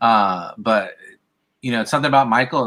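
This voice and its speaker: A man's bright, sharp voice with a slight Californian accent at a fairly quick pace, on a very clean recording with a silent background. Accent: slight California West Coast. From US West Coast. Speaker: podcast host. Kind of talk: casual chat.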